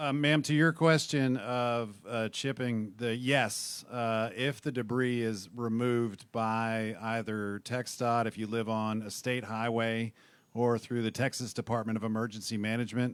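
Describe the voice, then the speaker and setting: A man's medium-pitched voice at a fairly slow pace, with fairly even intonation and hardly any pauses. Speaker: city government employee. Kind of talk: audience comment at public meeting. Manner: mumbling.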